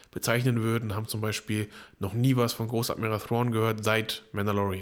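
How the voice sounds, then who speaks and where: At a moderate pace, a man speaks at medium pitch. The recording is very clean and the background silent. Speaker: podcast co-host. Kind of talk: casual chat. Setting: same room.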